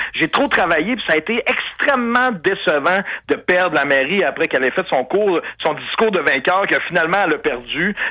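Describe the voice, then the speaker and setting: A man with a Quebec accent speaks at a moderate pace in a high pitch, with lively intonation. Noticeable background noise runs underneath. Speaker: radio columnist and former mayoral candidate. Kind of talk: testimony.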